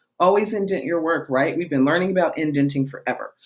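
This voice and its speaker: This woman has a plain, everyday voice pitched fairly low. Her intonation is lively. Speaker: schoolteacher. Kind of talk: online lesson.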